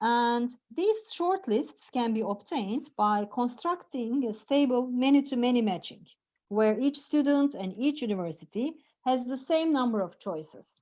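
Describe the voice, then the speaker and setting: A dark, mellow tone with lively intonation at a moderate pace. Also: woman, high pitch for a woman. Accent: Turkish. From Turkey. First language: Turkish. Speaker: professor. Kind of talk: lecture. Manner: halting.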